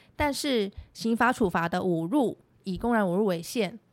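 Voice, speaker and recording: This is an ordinary speaking voice, a woman's, medium in pitch with ordinary pitch variation at a moderate pace. The recording is very clean, with a silent background. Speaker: lawyer. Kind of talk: scripted legal explainer podcast.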